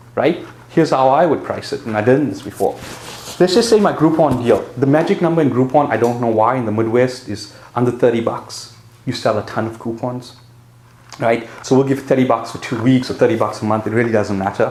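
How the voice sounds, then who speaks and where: Over noticeable background noise, a man speaks at a medium pitch and a fairly quick pace with ordinary pitch variation. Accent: South African. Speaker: presenter teaching marketing and pricing. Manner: casual, conversational explainer.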